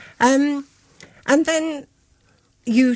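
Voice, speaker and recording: A woman is speaking. She has a Birmingham accent. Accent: Birmingham (Brummie). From Birmingham, England (Spring Hill). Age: 70s. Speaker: author and local memoir writer. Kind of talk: radio interview.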